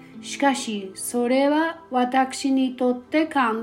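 A woman's high-pitched voice, gentle in tone, with ordinary pitch variation and a very slow pace. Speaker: prayer guide host. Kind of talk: fervent guided prayer, spoken to God in earnest first person pleas. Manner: earnest, pleading, heartfelt, slow and sincere with gentle fervor.

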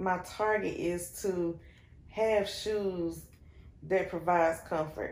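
With an American accent, a woman speaks at a very slow pace. Her medium pitch carries fairly even intonation. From Shelby, North Carolina. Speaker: business owner, shoe boutique founder. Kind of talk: casual interview chat.

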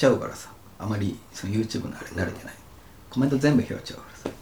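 A man's voice with big swings in loudness over noticeable background noise. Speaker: podcast co-host, office worker. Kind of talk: casual chat.

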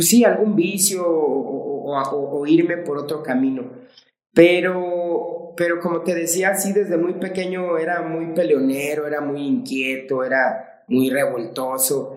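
High male voice at a very slow pace with hardly any pauses, ordinary pitch variation and audible room echo. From Mexico. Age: 40s. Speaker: martial arts coach. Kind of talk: casual interview chat.

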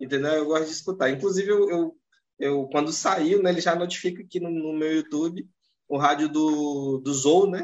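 A man with an unremarkable speaking voice talks at a moderate pace in a fairly high pitch with fairly even intonation. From northern Brazil. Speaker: podcast host. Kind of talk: casual podcast chat.

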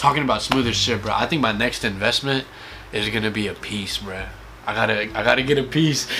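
Speaking at a fairly quick pace, a man holds a medium pitch with ordinary pitch variation. Noticeable background noise is present. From India. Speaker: podcast host. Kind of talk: casual chat.

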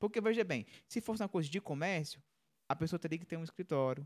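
A man's fairly high voice makes very wide pitch swings, captured with a dry, close sound and no echo. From Horizonte, Ceará, Brazil. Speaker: musician and sound technician. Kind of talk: casual live-stream chat. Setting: live stream studio.

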